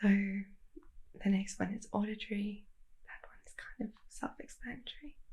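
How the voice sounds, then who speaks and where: A woman speaks fairly slowly in a fairly high, somewhat breathy voice with a dark, mellow tone. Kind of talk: ASMR soft spoken chat to camera.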